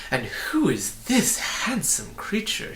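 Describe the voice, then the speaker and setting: Over clear background noise, a man performs a put-on character voice at a fairly slow pace. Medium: read story. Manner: amiable, smooth, polite.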